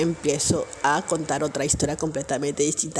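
At a moderate pace, a woman talks in an animated tone against noticeable background noise. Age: 30s. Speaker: podcaster. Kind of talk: personal storytelling monologue.

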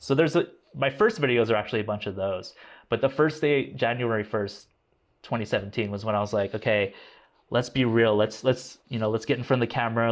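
A man talks at a fairly quick pace with ordinary pitch variation. His is a plain, everyday voice. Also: medium pitch for a man, quiet background. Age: 30s. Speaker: tech YouTuber and musician. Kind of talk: casual chat.

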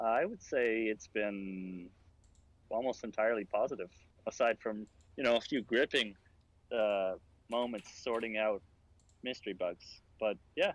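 At a fairly slow pace with long, frequent pauses, a man talks at a medium pitch with ordinary pitch variation. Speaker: VR museum developer. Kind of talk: interview conversation.

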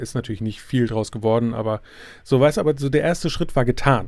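Ordinary pitch variation marks this man's speech, which sits at a medium pitch. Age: 30s. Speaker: podcaster. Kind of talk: solo podcast monologue. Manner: halting, many fillers.

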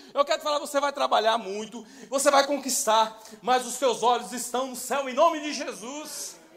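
Amid noticeable background noise, a man speaks at an extremely high pitch and a moderate pace. His intonation stays fairly even while his loudness swings widely. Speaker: pastor. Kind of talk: sermon.

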